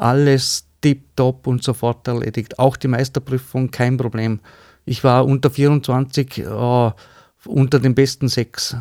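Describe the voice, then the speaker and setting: Speech comes at a very slow pace with fairly even intonation. The recording is very clean, with a silent background and a dry, close sound with no echo. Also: man. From Austria, Vorarlberg (Bludenz district). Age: 50s. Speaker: cabinetmaker. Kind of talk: interview. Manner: hesitant, many fillers.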